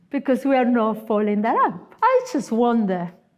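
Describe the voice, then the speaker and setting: A woman with an Argentine accent speaks at a high pitch with lively intonation. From Argentina. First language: Spanish. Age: 50s. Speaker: guest preacher, missionary. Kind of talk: sermon. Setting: church.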